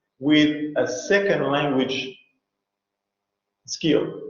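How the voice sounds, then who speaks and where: A man with a fairly high pitch is heard with audible room echo. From France. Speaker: university lecturer. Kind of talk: online lecture. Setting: online video class.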